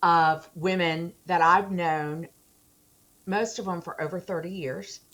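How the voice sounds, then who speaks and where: A woman with an unremarkable speaking voice talks at a fairly slow pace with fairly even intonation in a very clean recording with a silent background. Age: 60s. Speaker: attorney, theologian, and teacher. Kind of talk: interview answer.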